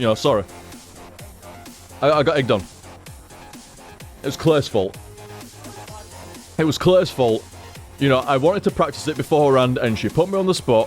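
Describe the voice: Over music in the background, a man talks at a moderate pace with very wide pitch swings and long, frequent pauses. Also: medium pitch for a man.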